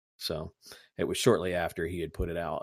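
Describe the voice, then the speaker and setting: With an Indiana accent, a man is heard in a very clean recording against a silent background. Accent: Midwestern US (Indiana). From US Midwest. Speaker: podcast host.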